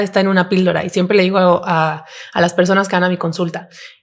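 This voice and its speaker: A woman speaks at a medium pitch. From Mexico, León. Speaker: psychiatrist. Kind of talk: podcast interview.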